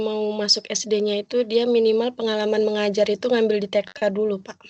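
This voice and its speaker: A woman speaks at a fairly quick pace in a fairly high voice with a dark, mellow tone and monotone, flat intonation. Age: 20s. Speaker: kindergarten teacher and student. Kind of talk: self-introduction. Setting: video call.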